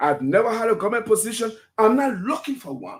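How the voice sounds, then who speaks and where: Here a man speaks with a high pitch. His pace is fairly quick. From Liberia. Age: 60s. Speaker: political commentator. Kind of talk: radio call-in discussion.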